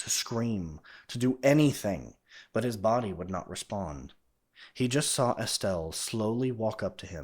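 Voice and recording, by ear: In a natural voice, someone reads aloud while the background stays quiet.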